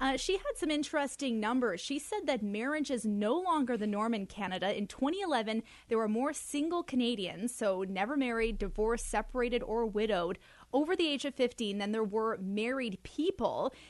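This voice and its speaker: Here is a woman with a normal speaking voice, fairly high in pitch, at a moderate pace. Her intonation is lively, with hardly any pauses. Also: quiet background. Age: 20s. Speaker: radio news reporter. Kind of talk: radio news segment.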